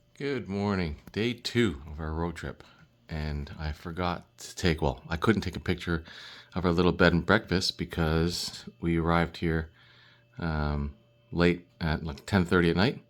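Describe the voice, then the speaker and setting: A man with a Canadian accent speaks at a fairly slow pace in a very deep, low pitch, his loudness swinging widely. The recording is very clean, with a silent background. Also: ordinary pitch variation. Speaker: travel vlogger. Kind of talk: casual vlog narration.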